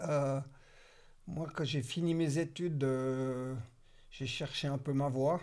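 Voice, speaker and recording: A man with a fairly high voice talks very slowly, with fairly even intonation and long, frequent pauses. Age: 60s. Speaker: real estate entrepreneur. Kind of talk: casual interview.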